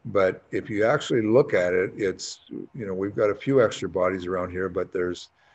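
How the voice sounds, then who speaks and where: With hardly any pauses, a man talks at a fairly quick pace in a fairly low pitch, showing ordinary pitch variation. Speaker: hockey head coach. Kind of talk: press conference. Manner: mumbling.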